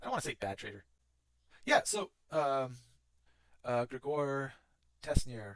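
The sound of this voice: A man's fairly high-pitched voice with a fairly bright tone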